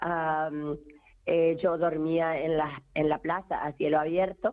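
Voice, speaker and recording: A woman is speaking. She has an Argentine accent. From rural Argentina. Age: 50s. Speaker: feminist activist. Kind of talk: testimony. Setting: phone call.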